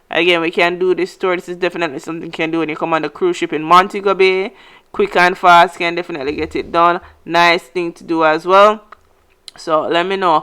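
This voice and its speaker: In a very clean recording with a silent background, a woman with a fairly low pitch and a bright, sharp tone talks at a fairly quick pace, her intonation fairly even and her loudness swinging widely. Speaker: travel vlogger and tour operator. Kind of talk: travel vlog narration. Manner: fast; casual, conversational.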